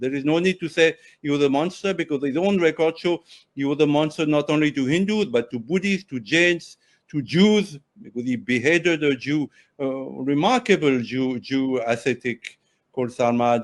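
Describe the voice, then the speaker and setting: In a French accent, a man speaks at a moderate pace with a fairly high pitch and ordinary pitch variation against a quiet background. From France, Paris. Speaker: journalist and author. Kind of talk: interview discussion. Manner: halting, with self-corrections.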